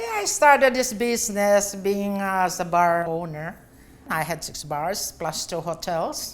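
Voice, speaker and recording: Speaking at a fairly slow pace, a woman with a Filipino accent has a medium pitch and lively intonation. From Philippines, Pampanga. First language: Kapampangan. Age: 60s. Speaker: bar and hotel owner. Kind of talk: interview.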